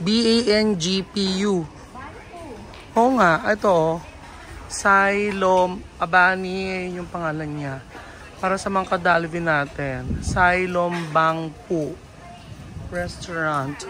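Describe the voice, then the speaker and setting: Audible room echo surrounds a woman with a fairly low pitch and ordinary pitch variation. She talks at a very slow pace with long, frequent pauses. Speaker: travel vlogger. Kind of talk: travel vlog. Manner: loud; animated.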